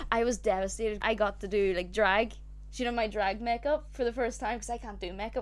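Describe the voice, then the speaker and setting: Fairly quick speech from a woman with a Northern Irish accent. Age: 20s. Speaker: podcast co-host. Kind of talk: casual chat.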